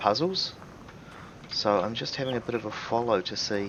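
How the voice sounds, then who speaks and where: Speaking at a moderate pace, a man with an American accent is heard over noticeable background noise. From New Zealand. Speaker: video game streamer. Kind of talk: let's play commentary. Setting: live stream. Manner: casual, with many fillers; quiet voice.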